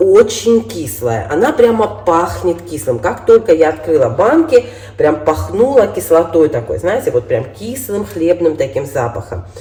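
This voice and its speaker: Over noticeable background noise, a woman speaks at a fairly slow pace in a fairly low pitch, her voice moving in very wide pitch swings. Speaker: cooking vlogger. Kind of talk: tutorial. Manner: casual.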